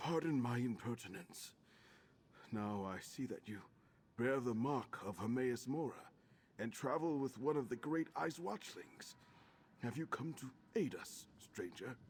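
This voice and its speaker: A man in a put-on character voice at a medium pitch, moderate in pace, with long, frequent pauses. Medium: video game.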